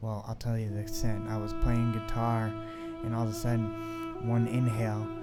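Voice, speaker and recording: Music plays in the background as a man speaks at a medium pitch and moderate pace. His intonation is monotone and flat, with audible room echo. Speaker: testimony vlogger. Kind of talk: testimony. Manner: halting.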